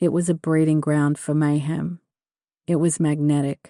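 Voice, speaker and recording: In a quiet background, a woman with a very deep, low pitch and a dark, mellow tone speaks at a fairly slow pace with monotone, flat intonation. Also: dry, close sound with no echo. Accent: Australian. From Australia. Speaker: author reading own novel. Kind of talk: audiobook narration.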